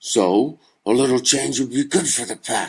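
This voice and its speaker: A man puts on a raspy character voice. His pitch sits in the medium range. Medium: read story. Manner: outspoken.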